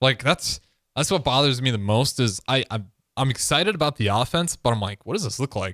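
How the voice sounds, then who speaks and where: A man with an unremarkable speaking voice talks at a fairly quick pace and a medium pitch, with lively intonation. The recording is very clean with a silent background, and the sound is dry and close with no echo. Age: 20s. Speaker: radio co-host and producer. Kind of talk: casual chat.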